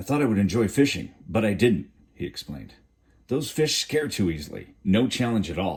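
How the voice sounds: Lively intonation in a natural reading voice.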